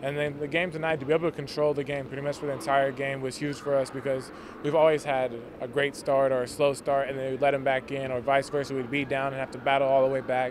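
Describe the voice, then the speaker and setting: A man speaks very fast in a monotone, flat intonation, with noticeable background noise and a dry sound with no echo. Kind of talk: interview answer. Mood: pleased after a win. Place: stadium. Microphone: handheld.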